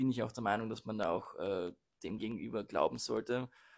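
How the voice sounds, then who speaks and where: Vocal fry runs through speech at a moderate pace with ordinary pitch variation, captured on a very clean recording against a silent background. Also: man. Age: 20s. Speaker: law student. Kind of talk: casual chat. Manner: halting.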